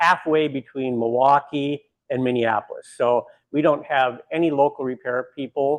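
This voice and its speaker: An ordinary speaking voice from a man, medium in pitch, with ordinary pitch variation and a moderate pace. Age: 60s. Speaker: bakery owner. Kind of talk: guided tour.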